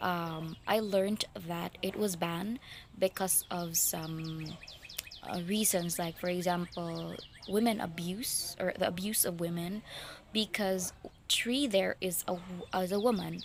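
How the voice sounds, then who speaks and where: With a Filipino accent, a woman speaks at a fairly slow pace in a fairly low pitch and fairly even intonation over noticeable background noise. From Philippines. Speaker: book vlogger. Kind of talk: casual book review vlog. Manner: halting, many fillers and restarts.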